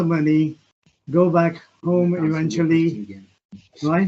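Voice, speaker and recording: A man with a high voice speaks at a very slow pace. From Punjab, India. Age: 70s. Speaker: restaurant owner. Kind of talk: interview.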